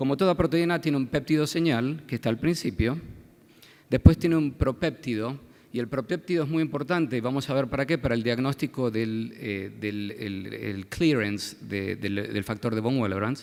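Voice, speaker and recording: A man with an Argentine accent speaks at a moderate pace and medium pitch, his intonation lively, on a very clean recording with a silent background. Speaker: pediatric hematologist. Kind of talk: medical conference lecture. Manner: halting, many fillers and repetitions.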